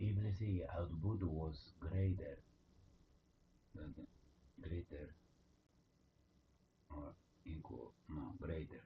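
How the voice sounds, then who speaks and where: A man with a non-native accent speaks very slowly in a very deep, low voice that is somewhat breathy, with ordinary pitch variation. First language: not English. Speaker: coding live streamer. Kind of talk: live coding stream. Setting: live stream. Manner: halting, many fillers.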